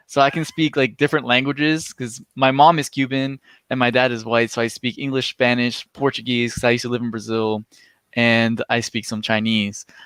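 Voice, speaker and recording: A plain, everyday voice speaks at a fairly quick pace with fairly even intonation in a very clean, dry, close recording with no echo and a silent background. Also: man, medium pitch for a man. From US, moved among countries. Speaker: YouTuber. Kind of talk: casual chat.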